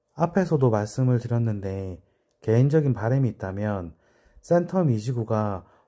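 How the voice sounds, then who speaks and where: A man's dark, mellow voice at a fairly slow pace with ordinary pitch variation, on a very clean recording with a silent background. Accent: Busan. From Busan, South Korea. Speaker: real estate agent. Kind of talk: explainer video. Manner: deliberate, careful enunciation.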